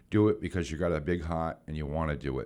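The speech comes at a fairly quick pace in a New England accent, with ordinary pitch variation. The recording is very clean, with a silent background. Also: man. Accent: New England American. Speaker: community volunteer. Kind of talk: casual chat.

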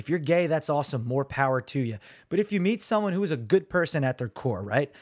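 An animated man speaks at a fairly high pitch, his voice making very wide pitch swings. The recording is very clean, with a silent background. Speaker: podcast host. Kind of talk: rant about social media, opinionated monologue. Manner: exasperated, animated, emphatic, direct address to listeners; conversational, informal.

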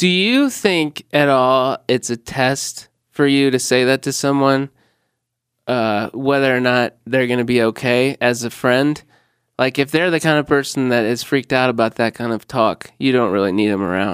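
With an American accent, a man talks in a normal speaking voice with ordinary pitch variation. The recording is very clean and dry, close with no echo and a silent background. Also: medium pitch for a man, moderate pace. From Illinois. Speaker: comedian. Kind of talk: casual chat.

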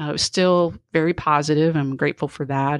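Recorded dry and close with no echo over a quiet background, a woman with a very deep, low pitch speaks at a fairly quick pace. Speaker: speaker and HR talent consultant. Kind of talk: casual interview.

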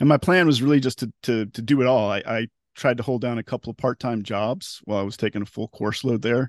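A man talks with ordinary pitch variation, the background around him quiet. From US South, Tallahassee, Florida panhandle. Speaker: technology journalist. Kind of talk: interview testimony about depression. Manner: halting, frequent repetitions.

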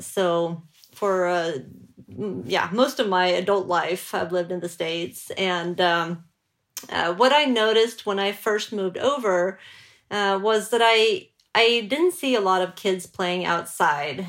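A woman with a Swedish accent talks at a very slow pace with ordinary pitch variation on a very clean recording with a silent background. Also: medium pitch for a woman. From Sweden. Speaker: journalist and author. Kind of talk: interview.

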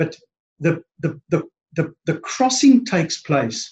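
A man speaks with ordinary pitch variation. His voice is somewhat breathy. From East London, South Africa. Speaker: podcast guest, branding business owner.

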